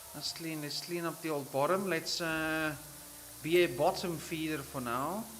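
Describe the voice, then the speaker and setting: A fairly high-pitched male voice, fairly slow and fairly even in intonation, with audible room echo. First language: Afrikaans. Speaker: gaming streamer. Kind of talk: live gameplay commentary. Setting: livestream. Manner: casual, relaxed.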